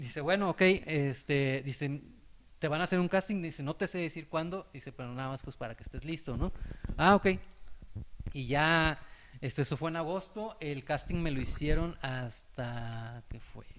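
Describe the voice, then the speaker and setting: On a very clean recording with a silent background, a man with a plain, everyday voice speaks at a fairly high pitch and a moderate pace, with ordinary pitch variation and big swings in loudness. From Mexico, Acapulco, Guerrero. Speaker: sports journalist. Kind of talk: casual chat.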